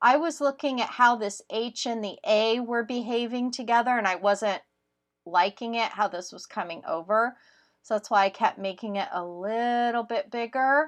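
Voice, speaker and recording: A woman speaks in a normal speaking voice, fairly high in pitch, with ordinary pitch variation. Her pace is moderate and the background is quiet. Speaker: crafting YouTuber. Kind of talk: tutorial. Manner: casual, with fillers.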